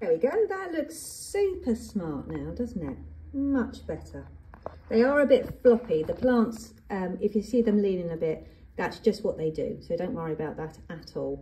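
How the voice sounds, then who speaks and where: A woman speaks at a moderate pace with an English accent, her loudness swinging widely. Background noise is noticeable. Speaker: gardening youtuber. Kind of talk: tutorial. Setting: greenhouse. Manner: chatty.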